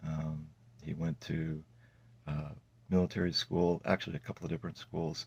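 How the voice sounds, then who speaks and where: Soft-spoken and fairly quick, a man talks in a very deep, low pitch with fairly even intonation. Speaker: testimony vlogger. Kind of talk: testimony. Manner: halting.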